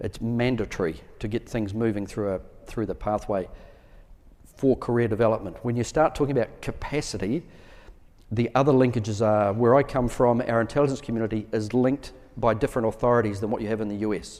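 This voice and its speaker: Speech in a New Zealand accent moves at a fairly quick pace with fairly even intonation. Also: man, medium pitch for a man. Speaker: military officer. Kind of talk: conference Q&A answers.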